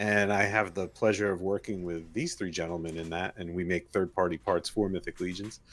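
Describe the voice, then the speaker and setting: In a New Jersey accent, a man with a very deep, low pitch talks with fairly even intonation and hardly any pauses. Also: fairly quick pace. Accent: New Jersey American. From New Jersey, US. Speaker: podcast co-host and toy parts maker. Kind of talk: casual chat.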